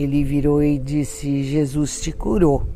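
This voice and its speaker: Against noticeable background noise, a woman speaks very slowly in a very deep, low pitch. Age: 70s. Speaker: medical cannabis patient. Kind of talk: interview testimony.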